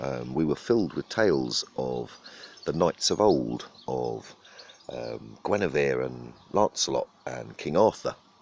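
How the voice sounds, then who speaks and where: A man speaks with a southern English accent at a fairly slow pace, with very deep, low pitch. His intonation is lively, and there is noticeable background noise. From southern England. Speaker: vlogger. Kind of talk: casual monologue. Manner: halting, many fillers.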